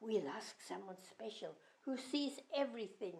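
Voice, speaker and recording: A woman with a Scottish Highland accent speaks at a moderate pace. Her pitch is fairly high, with vocal fry. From Scotland. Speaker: grandmother storyteller. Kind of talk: children's rhyming story reading.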